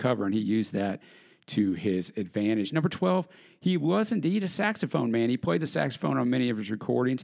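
Against a quiet background, a man with an American accent speaks fairly quickly, his pitch swinging very widely. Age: 40s. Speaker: podcast host. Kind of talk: solo podcast narration.

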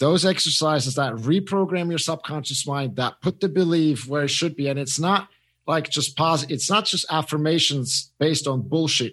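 A man with a Swiss accent talks at a moderate pace, his fairly high pitch showing ordinary variation. The background is quiet. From Switzerland. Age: 30s. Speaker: mindset coach and former swimmer. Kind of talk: casual interview. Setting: remote call from Zurich.

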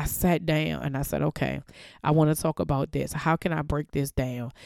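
Over a very clean recording with a silent background, a woman speaks at a moderate pace with ordinary pitch variation. Her pitch is very deep and low, with a dark, mellow tone. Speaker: podcast host. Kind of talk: motivational faith talk. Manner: casual, laughs often.

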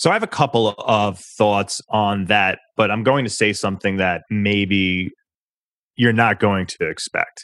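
On a very clean recording with a silent background, an ordinary speaking voice goes fairly slowly with fairly even intonation. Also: man, fairly low pitch for a man. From New York. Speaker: public relations firm founder, former journalist. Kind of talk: interview.

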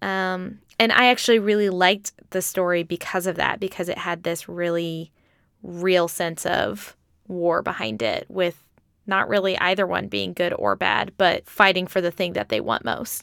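With ordinary pitch variation and a moderate pace, this is a normal speaking voice. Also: woman, fairly low pitch for a woman. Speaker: podcast host. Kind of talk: casual chat.

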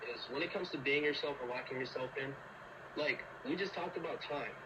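Over noticeable background noise, a man talks at a very fast pace. His pitch is fairly high. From Liberia. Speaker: college student athlete. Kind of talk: casual chat.

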